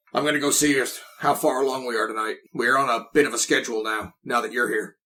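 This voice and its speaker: A man uses a raspy, put-on character voice at a medium pitch. He rattles along very fast with fairly even intonation. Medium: actual play. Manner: chatty, folksy.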